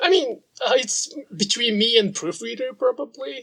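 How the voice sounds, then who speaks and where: A man speaks at a moderate pace with a Japanese accent. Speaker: sashiko practitioner and author. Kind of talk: interview conversation.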